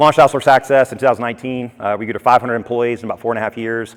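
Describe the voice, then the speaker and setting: A man with an American accent speaks with fairly even intonation. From US South, Atlanta, Georgia. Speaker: conference speaker, entrepreneur. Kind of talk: conference talk. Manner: fast.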